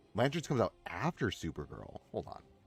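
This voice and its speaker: Music plays in the background as a man talks at a moderate pace in a dry, close sound with no echo. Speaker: gaming streamer. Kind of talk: livestream gameplay commentary. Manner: casual, rambling with frequent self-interruptions.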